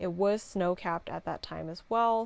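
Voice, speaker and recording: A woman's relaxed tone on a very clean recording with a silent background. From Canada. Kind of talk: casual vlog voiceover. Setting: home, computer fan audible. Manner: sleepy, relaxed.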